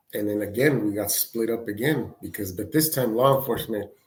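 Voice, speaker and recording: A man speaks with a Spanish accent. His voice is somewhat breathy. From Mexico (Michoacán), raised from age six in the San Francisco Bay Area. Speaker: podcast guest sharing life story. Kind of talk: casual interview storytelling. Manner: halting, many repetitions.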